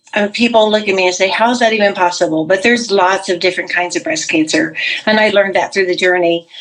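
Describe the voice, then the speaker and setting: Over noticeable background noise, a woman speaks very fast at a medium pitch with very even loudness. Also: ordinary pitch variation. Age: 60s. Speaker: cancer survivor, retired pastor. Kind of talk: testimony.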